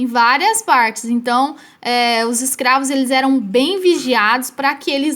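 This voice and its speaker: With a high voice and ordinary pitch variation, a woman talks at a fairly slow pace. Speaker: history teacher. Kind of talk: recorded lesson.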